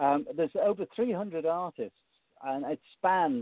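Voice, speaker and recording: A man with a Liverpool accent speaks with lively intonation. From Liverpool, England. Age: 50s. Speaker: music presenter and author. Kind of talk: interview. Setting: phone call.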